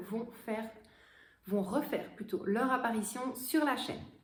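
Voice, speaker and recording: In a room with audible echo, a woman with a high pitch and ordinary pitch variation speaks at a fairly slow pace. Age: 30s. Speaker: vlogger. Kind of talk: casual haul vlog.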